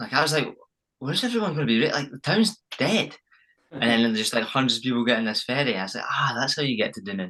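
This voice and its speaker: In a Scottish accent, a man of medium pitch races along at a very fast pace with a bright, sharp tone and lively intonation. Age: young. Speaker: champion runner. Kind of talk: casual chat.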